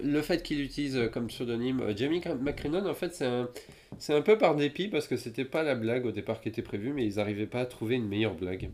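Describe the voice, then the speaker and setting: With lively intonation and a fairly quick pace, this is an unremarkable speaking voice. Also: man, medium pitch for a man. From France. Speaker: podcast co-host. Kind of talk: casual chat.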